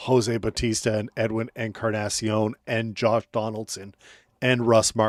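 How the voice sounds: Simply a natural reading voice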